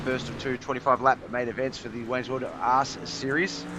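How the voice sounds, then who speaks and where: With an Australian accent, a man talks at medium pitch over noticeable background noise. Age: 40s. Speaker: sim racing commentator. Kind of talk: live commentary. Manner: animated.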